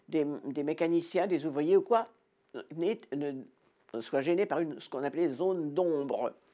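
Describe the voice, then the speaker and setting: A voice with a dark, mellow tone and lively intonation comes at a moderate pace in a very clean recording with a silent background. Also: woman. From France, Normandy. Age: 80s+. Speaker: war witness. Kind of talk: testimony. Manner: halting.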